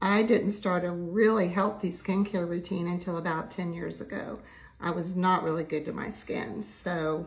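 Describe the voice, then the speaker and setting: A somewhat breathy woman with a fairly low pitch speaks at a moderate pace amid audible room echo. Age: 70s. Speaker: makeup and skincare livestreamer. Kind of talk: makeup tutorial livestream.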